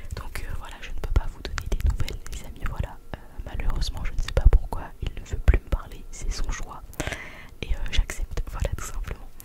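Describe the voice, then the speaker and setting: A woman is whispering. Her loudness swings widely. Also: moderate pace. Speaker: ASMR content creator. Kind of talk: ASMR close-up reading of viewer comments. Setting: close-up sensitive microphone. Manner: whispered, close to the microphone. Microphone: studio mic.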